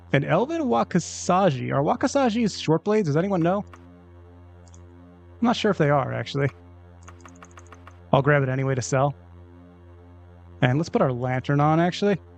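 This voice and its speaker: Music plays behind a man speaking at a moderate pace with long, frequent pauses. His pitch is fairly high and swings very widely. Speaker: gaming streamer. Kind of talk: live stream commentary.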